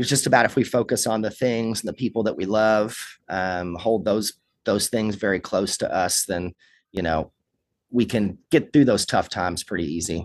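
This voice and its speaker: With a Kentucky accent, a man speaks at a moderate pace and fairly low pitch, ordinary pitch variation, in a quiet background. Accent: Kentucky Southern. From Kentucky, Lawrenceburg. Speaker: rock musician. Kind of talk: interview.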